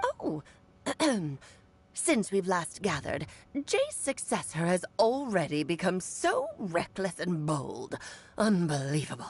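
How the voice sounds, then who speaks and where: A woman's put-on character voice at medium pitch, fairly slow, with long, frequent pauses. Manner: scornful, disapproving.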